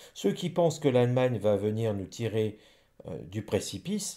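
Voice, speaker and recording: In a very clean recording with a silent background, a man speaks at a medium pitch and fairly slow pace with a dark, mellow tone. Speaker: psychic / rune reader. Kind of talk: divination reading monologue. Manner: stumbling over words.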